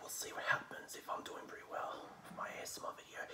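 Soft-spoken whispering at a fairly quick pace over loud background noise. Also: man. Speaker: home food vlogger. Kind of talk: casual vlog chat. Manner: soft ASMR whisper to camera. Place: home room. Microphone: phone near.

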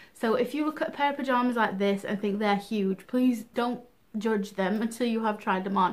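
A woman's voice with fairly even intonation. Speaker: fashion vlogger. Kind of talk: casual vlog chat. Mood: cheerful, chatty. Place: home room. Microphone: camera far.

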